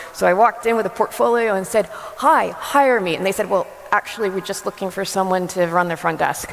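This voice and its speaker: A woman with an American accent, medium pitch, ordinary pitch variation and a fairly quick pace over noticeable background noise. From US, New Jersey. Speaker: photographer and former teacher. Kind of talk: conference talk. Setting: stage with audience.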